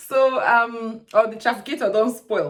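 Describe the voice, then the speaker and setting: The speaker is a woman. She has a Nigerian accent. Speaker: lifestyle YouTuber. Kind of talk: casual talk to camera. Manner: chatty, humorous.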